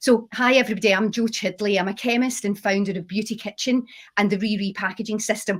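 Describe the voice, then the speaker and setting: Heard on a very clean recording, silent background, the voice is somewhat breathy, with a Scottish accent. It moves at a fairly quick pace. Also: woman. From Scotland, Glasgow. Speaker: chemist and company founder. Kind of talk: panel discussion.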